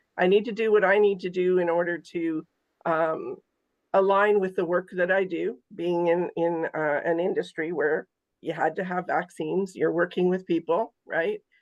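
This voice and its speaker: Here a woman uses an ordinary speaking voice at a medium pitch. She keeps a moderate pace and fairly even intonation. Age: 60s. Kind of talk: casual chat.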